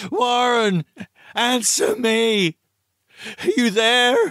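In a put-on character voice, a man speaks at an extremely high pitch and a very slow pace, with a fairly bright tone and a dry, close sound that has no echo. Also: ordinary pitch variation.

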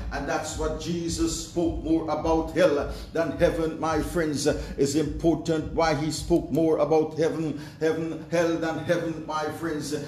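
With audible room echo and light background noise, a man speaks at a fairly slow pace with hardly any pauses, his pitch fairly high and his intonation monotone and flat. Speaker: pastor. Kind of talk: sermon. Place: home room. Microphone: camera far.

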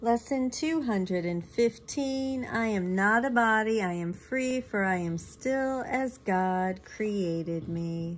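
At a very slow pace, a woman speaks in a fairly high pitch with lively intonation and a warm, gentle tone. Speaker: spiritual teacher. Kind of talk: guided meditation. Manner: slow, calm, soothing.

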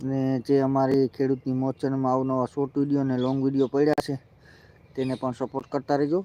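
This man's voice sits at a medium pitch with a dark, mellow tone. His intonation is monotone and flat. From Gujarat, Junagadh district (Gir). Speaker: farmer livestreamer. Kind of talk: casual live stream walkaround. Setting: outdoors on a farm.

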